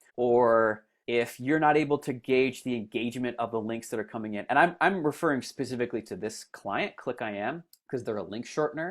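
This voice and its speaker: Against a quiet background, a man talks at a fairly quick pace. His pitch is medium, with ordinary variation. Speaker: marketing consultant. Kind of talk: tutorial. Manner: fast; halting.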